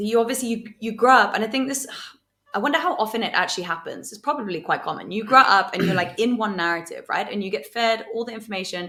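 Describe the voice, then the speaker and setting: With a British accent, a woman talks at a fairly quick pace, her fairly high pitch carried by lively intonation. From England. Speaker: podcast guest. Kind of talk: casual chat. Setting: at home.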